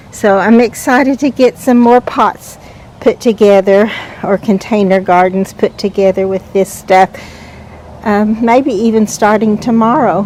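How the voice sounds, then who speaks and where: A woman talks in a relaxed tone at a fairly slow pace, her pitch fairly high and her intonation fairly even. Noticeable background noise runs underneath. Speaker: gardening vlogger. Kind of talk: casual garden walk-through vlog. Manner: relaxed, with frequent fillers.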